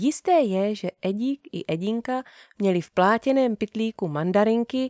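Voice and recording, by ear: Against a quiet backdrop, the text is read aloud in a natural voice.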